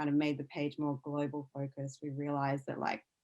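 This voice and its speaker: A woman with an Australian accent speaks at a fairly quick pace. Her pitch is very deep and low. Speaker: science news executive and former science journalist. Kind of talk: podcast interview.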